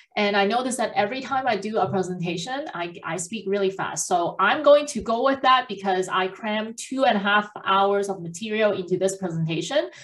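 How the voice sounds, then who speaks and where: With noticeable background noise around her, a woman talks fairly quickly with lively intonation and hardly any pauses. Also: medium pitch for a woman. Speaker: accountant. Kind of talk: presentation. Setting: video call. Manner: fast.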